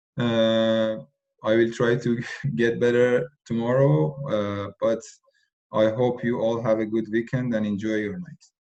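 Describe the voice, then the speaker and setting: A man with a non-native accent and a medium pitch speaks at a fairly slow pace with ordinary pitch variation. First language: not English. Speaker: tutor. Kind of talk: online tutorial session. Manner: halting, many fillers.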